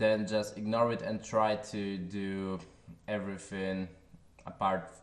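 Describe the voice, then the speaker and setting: Very slow speech in a Polish accent with fairly even intonation and audible room echo. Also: man, fairly low pitch for a man. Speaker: software tutorial creator. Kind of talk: tutorial. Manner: halting, with filler sounds.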